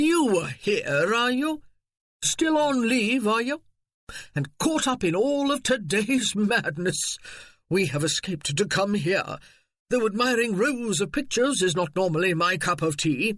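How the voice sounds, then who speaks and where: In a put-on character voice, a man sounds gruff and high-pitched, with very wide pitch swings, very even loudness and a moderate pace. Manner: hearty, jovial.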